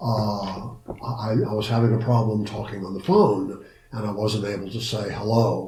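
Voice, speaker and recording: Against noticeable background noise and audible room echo, a man with a fairly low voice and an American accent talks in a monotone, flat way. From Ohio. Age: 80s+. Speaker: psychotherapist and social worker. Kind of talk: interview. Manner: halting with repetitions.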